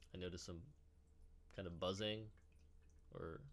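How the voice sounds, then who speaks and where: The speaker keeps a moderate pace, with audible room echo. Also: man. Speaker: meditation teacher. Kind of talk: guided meditation; tutorial. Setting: indoors. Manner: halting.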